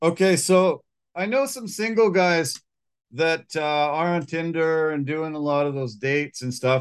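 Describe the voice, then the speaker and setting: Against a quiet background, a man with a fairly high pitch speaks fairly slowly with lively intonation, in an unremarkable speaking voice. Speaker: podcast host. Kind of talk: casual interview.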